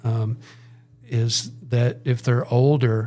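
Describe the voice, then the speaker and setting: Somewhat breathy, a man talks at a medium pitch with fairly even intonation. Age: 60s. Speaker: church missions minister. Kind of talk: podcast interview.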